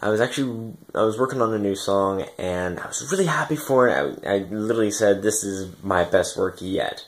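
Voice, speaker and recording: This is a normal speaking voice at a moderate pace. Pitch variation is ordinary. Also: man. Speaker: electronic music producer vlogger. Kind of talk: casual vlog, equipment overview. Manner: casual, filler-heavy.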